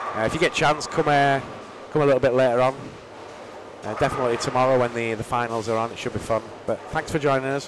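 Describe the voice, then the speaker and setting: With a Yorkshire accent, the speaker goes at a very fast pace with ordinary pitch variation against noticeable background noise. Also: man. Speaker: bowling commentator. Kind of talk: live commentary. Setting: live stream from bowling centre.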